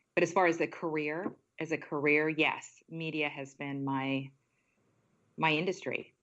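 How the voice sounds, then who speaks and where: A woman speaks in a very deep, low pitch with an American accent, at a fairly slow pace. Her intonation is monotone and flat, and she takes long, frequent pauses. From India, raised in Washington state. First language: not English. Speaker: television news anchor. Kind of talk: interview.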